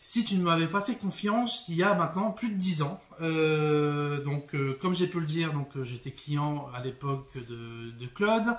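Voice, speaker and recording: Over noticeable background noise, a fairly high-pitched man speaks with lively intonation at a fairly slow pace, with hardly any pauses. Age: 30s. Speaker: bookseller. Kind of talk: casual vlog monologue. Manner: hesitant, many fillers.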